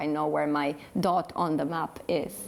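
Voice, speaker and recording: A woman speaks with a Polish accent in a very deep, low voice with vocal fry. Her intonation stays fairly even. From Poland. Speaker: interviewee. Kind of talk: interview.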